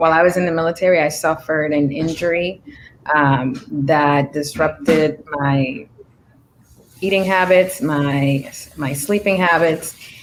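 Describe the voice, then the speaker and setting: With a Spanish accent, the speaker goes at a fairly slow pace, using ordinary pitch variation and long, frequent pauses. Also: woman, very deep, low pitch for a woman. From Dominican Republic. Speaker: Navy veteran and cannabis entrepreneur. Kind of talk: interview. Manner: hesitant, many fillers.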